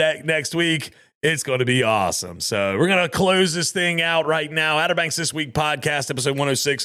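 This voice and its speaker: A man's fairly high voice at a moderate pace, with ordinary pitch variation, in a very clean recording against a silent background. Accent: Southern US. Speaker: podcast host. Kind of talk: casual podcast outro. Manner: casual, conversational.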